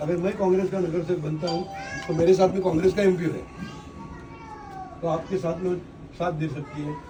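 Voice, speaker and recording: A man speaks at a moderate pace with a high pitch and fairly even intonation. Audible room echo and noticeable background noise surround him. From Maharashtra, India. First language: Marathi (speaking Hindi). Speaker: local election candidate, politician. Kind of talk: campaign speech to residents.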